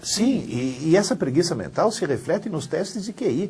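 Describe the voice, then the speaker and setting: Though high-pitched, this man's voice carries a dark, mellow tone at a moderate pace. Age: 60s. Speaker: university professor, educator. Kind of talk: interview.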